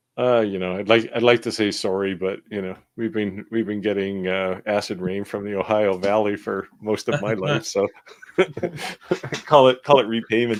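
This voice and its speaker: Against noticeable background noise, a man with a fairly low voice talks at a moderate pace. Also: ordinary pitch variation. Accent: Canadian. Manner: wry, sarcastic.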